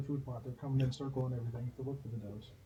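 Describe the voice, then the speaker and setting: Talking at a very fast pace, a man with an American accent has a medium-pitched, somewhat breathy voice. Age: 40s. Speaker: archery champion and YouTuber. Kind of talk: casual chat.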